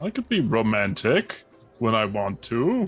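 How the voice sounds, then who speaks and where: A man does a put-on character voice at a medium pitch. He speaks at a fairly slow pace, with faint music in the background. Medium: actual play. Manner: hesitant, repeats words when nervous.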